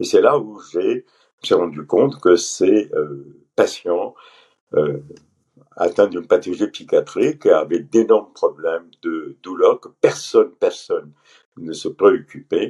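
Loudness rises and falls sharply as a man talks. His pace is very slow. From Pondicherry, India. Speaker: physician. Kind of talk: interview.

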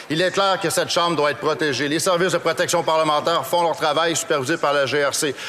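A man speaks at a very fast pace in a high pitch with monotone, flat intonation. Noticeable background noise runs underneath. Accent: Quebec French. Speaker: member of parliament. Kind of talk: parliamentary debate. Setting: legislative chamber.

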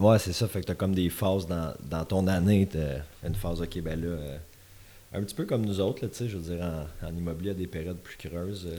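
Talking at a very fast pace, a man uses a very deep, low pitch, a dark, mellow tone and fairly even intonation. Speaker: podcast host. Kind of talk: casual interview chat. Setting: studio.

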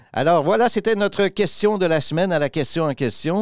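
The recording of this man is very clean, with total silence behind him. His sound is dry and close, without any echo. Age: 60s. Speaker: podcast host. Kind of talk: casual chat.

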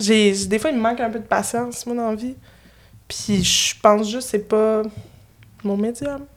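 Taking long, frequent pauses, a woman with a Quebec accent speaks at a fairly slow pace and a fairly high pitch. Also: fairly even intonation. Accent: Québécois French. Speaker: puppeteer and improviser. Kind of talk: casual chat. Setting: studio.

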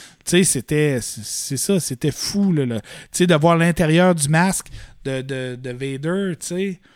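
On a very clean recording with a silent background, a man speaks at a very slow pace. His pitch is fairly high, with ordinary variation. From Quebec, Fermont (Côte-Nord). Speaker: Star Wars collector and exhibition worker. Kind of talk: casual chat.

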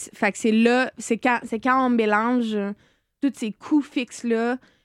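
A woman is speaking. The sound is dry and close with no echo, on a very clean recording with a silent background. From Quebec, Eastern Townships (Saint-Césaire). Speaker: chef and restaurant owner. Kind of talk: casual interview.

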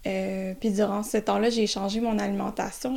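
A woman speaks with a dark, mellow tone at a fairly high pitch. Her intonation stays monotone and flat. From Quebec, south of Montreal. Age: 20s. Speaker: market gardener, recent graduate. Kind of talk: interview. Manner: halting, many hesitations.

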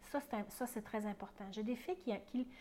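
A woman with a Quebec accent speaks at a moderate pace. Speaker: perinatal educator and podcast host. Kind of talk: casual teaching monologue. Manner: conversational, with hesitations.

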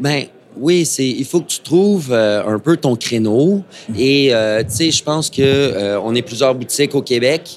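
A man with an ordinary speaking voice, medium pitch, ordinary pitch variation and a fairly slow pace. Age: 30s. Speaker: fly shop owner. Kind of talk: casual interview. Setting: live before audience at a trade show.

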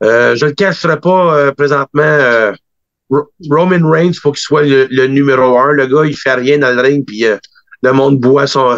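A man talks at a fairly high pitch. His intonation stays fairly even. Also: fairly slow pace, dry, close sound with no echo. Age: 40s. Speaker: wrestling booker and promoter. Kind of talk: interview.

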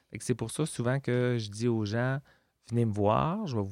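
Speaking at a fairly slow pace, a man uses a medium pitch with ordinary pitch variation. The recording is very clean and dry, with a silent background, a close sound and no echo. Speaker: legal aid lawyer. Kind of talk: interview. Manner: halting.

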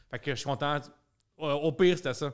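A man with an ordinary speaking voice talks at a fairly quick pace with fairly even intonation, on a very clean recording with a silent background. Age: 30s. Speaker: comedian. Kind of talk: casual chat.

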